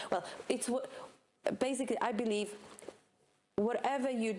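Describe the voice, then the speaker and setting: In a non-native accent, the speaker keeps a moderate pace and ordinary pitch variation. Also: woman. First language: not English. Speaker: CrossFit coach. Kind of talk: podcast discussion. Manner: halting.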